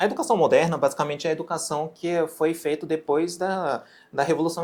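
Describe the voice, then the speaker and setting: This man's voice sits fairly high. He keeps a moderate pace. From Japan. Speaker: physician and medical educator. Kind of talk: interview. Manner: halting, with frequent self-corrections.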